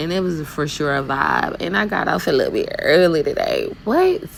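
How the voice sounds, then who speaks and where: With a Southern US accent, a woman speaks at a moderate pace over noticeable background noise. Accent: Southern US country. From US South, Fort Mitchell, Alabama. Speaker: dump truck driver, vlogger. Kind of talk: casual vlog while driving. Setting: in a truck. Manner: animated.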